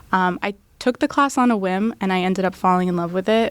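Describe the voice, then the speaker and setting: A woman with a plain, everyday voice, medium pitch and a fairly quick pace, in an American accent. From US, Tampa, Florida. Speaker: law student. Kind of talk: interview.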